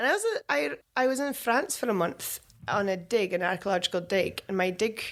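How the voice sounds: In a Shetland accent, a woman speaks at a fairly quick pace. Her pitch variation is ordinary.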